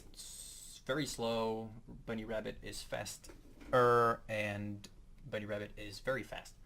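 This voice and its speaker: Delivered with monotone, flat intonation, the speech carries a Dutch accent. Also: man. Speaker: guitar tutorial youtuber. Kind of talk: tutorial. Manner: halting, hesitant. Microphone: poor audio quality, voice in right channel.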